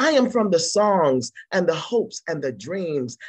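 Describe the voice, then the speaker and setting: In a dry, close recording with no echo, a woman with a fairly low pitch and vocal fry talks at a very slow pace, her pitch swinging very widely. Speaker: poet. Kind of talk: poetry reading.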